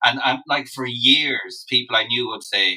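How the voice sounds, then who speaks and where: A man speaks with a western Irish accent. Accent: Irish (west of Ireland). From Ireland, Loughrea, County Galway. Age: 40s. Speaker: singer-songwriter. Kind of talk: interview, casual chat.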